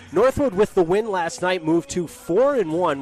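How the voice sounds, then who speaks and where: A man at a moderate pace, dry and close with no echo, music in the background. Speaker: sports broadcaster, play-by-play announcer. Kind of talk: live basketball play-by-play commentary. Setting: broadcast booth.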